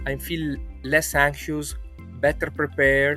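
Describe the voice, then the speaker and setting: Over music in the background, a man with a very deep, low pitch speaks at a very slow pace, his pitch swinging very widely. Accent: Italian. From Italy. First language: Italian. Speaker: social psychology researcher. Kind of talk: testimonial interview answer.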